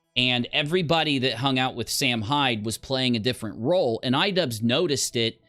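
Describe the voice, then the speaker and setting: A man's medium-pitched voice comes through while music plays in the background. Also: ordinary pitch variation, fairly quick pace, hardly any pauses. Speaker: livestream commentary host. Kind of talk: casual livestream commentary.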